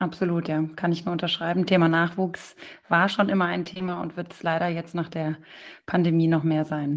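A very clean recording with a silent background captures a woman with a fairly low pitch. Her intonation is monotone and flat, her pace moderate. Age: young. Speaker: podcast co-host, handball player. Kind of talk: podcast interview.

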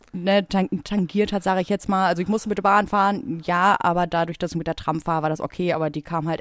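A woman with a normal speaking voice and fairly low pitch talks at a fairly quick pace. The recording is very clean, with a silent background. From Ruhr area, Germany (Bottrop). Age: 30s. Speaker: podcast co-host, tattoo artist. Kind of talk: casual chat.

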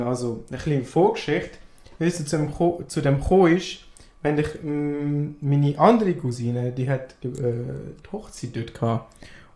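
Man's dark, mellow, somewhat breathy voice, fairly high in pitch, at a moderate pace with ordinary pitch variation. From Afghanistan. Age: 20s. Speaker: podcast guest. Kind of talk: casual chat.

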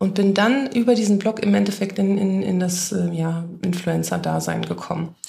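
A woman talks fairly slowly with noticeable background noise behind her. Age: 30s. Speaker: make-up artist and influencer agency head. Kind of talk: casual interview chat.

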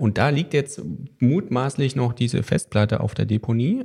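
Noticeable background noise sits under a man talking at a fairly quick pace and medium pitch. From Thuringia, eastern Germany. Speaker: podcast host, trade journal editor. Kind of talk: casual chat.

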